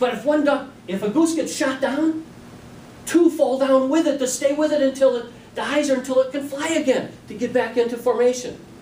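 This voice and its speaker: Over noticeable background noise, a man with an extremely high pitch speaks with fairly even intonation. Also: moderate pace. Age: 60s. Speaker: toastmasters club speaker. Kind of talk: practice speech.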